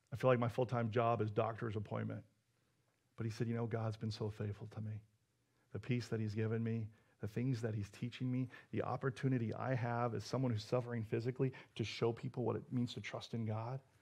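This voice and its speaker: An animated, somewhat breathy man's voice at medium pitch and a fairly quick pace. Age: 40s. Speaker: pastor. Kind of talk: sermon.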